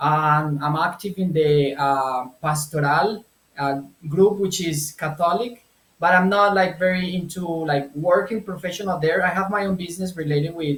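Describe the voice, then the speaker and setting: Ordinary pitch variation marks a man's high voice, delivered at a moderate pace with a Spanish accent. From Colombia. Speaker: translator and language business owner. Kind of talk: interview. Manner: halting, with repetitions.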